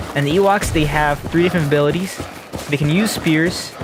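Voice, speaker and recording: A man talks with ordinary pitch variation, his voice carrying audible room echo amid noticeable background noise. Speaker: gaming YouTuber. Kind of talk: gameplay commentary. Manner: halting, stumbling over words.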